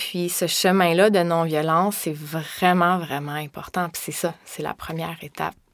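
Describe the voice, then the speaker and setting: Very clean audio of a woman, with a silent background. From Quebec, Laurentians. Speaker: yoga teacher and massage therapist. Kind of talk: interview.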